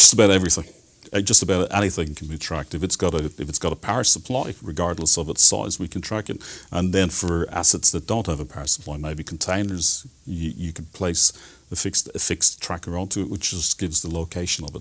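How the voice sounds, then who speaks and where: A man with a very deep, low pitch and ordinary pitch variation speaks at a very fast pace on a very clean recording with a silent background. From Ireland, Dublin. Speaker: telematics specialist. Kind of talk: TV interview.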